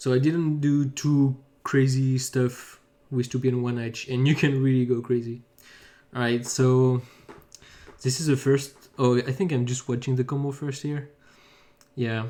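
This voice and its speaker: A man with a French accent speaks at a fairly slow pace, with long, frequent pauses. His medium-pitched voice has a dark, mellow tone and monotone, flat intonation. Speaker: pen spinner. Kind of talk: video commentary. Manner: halting.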